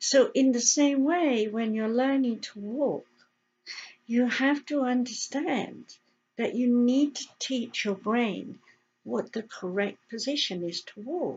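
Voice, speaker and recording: A woman with an English accent speaks at a very slow pace and a high pitch. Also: ordinary pitch variation. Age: 70s. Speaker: health educator and radio host. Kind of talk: casual talk to camera. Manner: animated.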